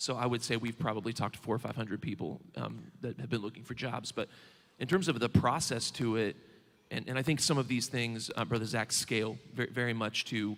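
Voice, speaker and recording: With an American accent, a man speaks at a fairly quick pace and medium pitch, showing vocal fry and fairly even intonation. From Southern Indiana, rural. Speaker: bank regional manager. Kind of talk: onstage interview.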